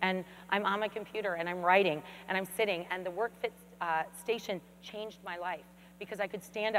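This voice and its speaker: A loud voice with ordinary pitch variation. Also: woman. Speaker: fitness expert. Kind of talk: keynote presentation. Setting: stage with audience. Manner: fast.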